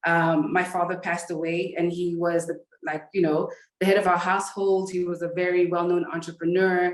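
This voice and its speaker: A woman with an American accent, at a fairly quick pace. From United States. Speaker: business coach and entrepreneur. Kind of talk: conference presentation. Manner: fast; hesitant, many fillers.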